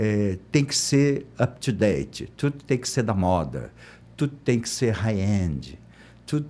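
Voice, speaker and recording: A man speaks very slowly with lively intonation. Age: 60s. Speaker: architect. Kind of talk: interview. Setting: studio.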